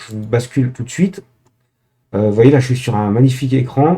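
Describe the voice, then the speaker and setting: A man's somewhat breathy voice with a dark, mellow tone and ordinary pitch variation. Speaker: tech tutorial youtuber. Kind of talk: tutorial. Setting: screen recording. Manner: hesitant, many filler sounds.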